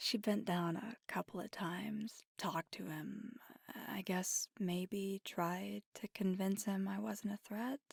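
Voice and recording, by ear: In a put-on character voice, a woman talks slowly at a medium pitch, with vocal fry, a slightly husky edge and fairly even intonation. The recording is very clean, with a silent background and a dry, close sound with no echo.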